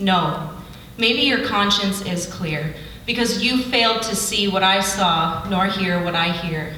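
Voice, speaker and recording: With noticeable background noise behind her, a woman speaks at a fairly slow pace in an intense tone, at medium pitch with ordinary pitch variation. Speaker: slam poet. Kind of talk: slam poetry performance. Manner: intense, confrontational.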